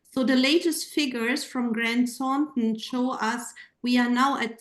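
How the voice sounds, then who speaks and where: A woman with a German accent speaks at a fairly slow pace. Her pitch is high, with fairly even intonation. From Germany. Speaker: panel moderator and gender researcher. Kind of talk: panel moderation.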